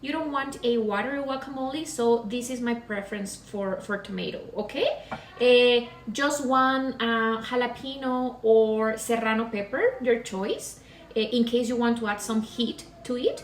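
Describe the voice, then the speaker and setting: A high-pitched woman's voice with a Mexican accent, fairly even intonation and audible room echo. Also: moderate pace. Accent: Latin (Mexican Spanish). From Mexico, Pacific coast, Guerrero. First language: Spanish. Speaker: cooking demonstrator, real estate agent. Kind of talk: cooking demonstration. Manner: hesitant, many fillers.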